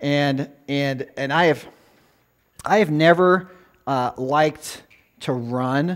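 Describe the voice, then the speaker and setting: Ordinary pitch variation in a man's speech. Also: quiet background. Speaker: guest preacher, former youth pastor. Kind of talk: sermon. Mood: warm, conversational, light humor. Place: church.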